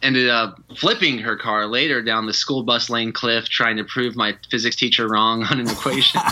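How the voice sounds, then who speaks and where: Hardly pausing at all, the speaker moves at a moderate pace while noticeable background noise carries on. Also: man, medium pitch for a man. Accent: slight Southern US. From Georgia, US South. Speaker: retreat leader. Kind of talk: podcast interview. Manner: animated.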